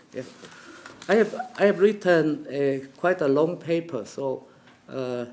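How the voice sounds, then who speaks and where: Amid noticeable background noise, a man with a Chinese accent speaks with lively intonation and long, frequent pauses. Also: fairly high pitch for a man, fairly slow pace. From China. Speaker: professor. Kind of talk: academic conference talk. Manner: halting, many fillers; slow.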